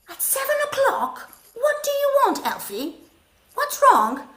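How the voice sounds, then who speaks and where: This squeaky, put-on character voice moves at a fairly slow pace. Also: woman. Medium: read story. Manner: weary, sighing.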